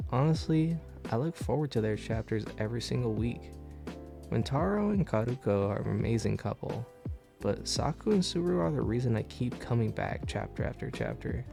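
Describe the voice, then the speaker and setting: Music plays in the background as a man with a fairly low pitch talks at a fairly quick pace, his pitch swinging very widely. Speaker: anime and manga reviewer. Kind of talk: video essay review narration.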